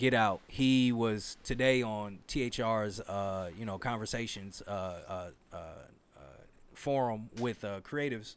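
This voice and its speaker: On a very clean recording with a silent background, a man speaks fairly slowly at a medium pitch with fairly even intonation. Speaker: podcast host. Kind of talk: casual chat. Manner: loud.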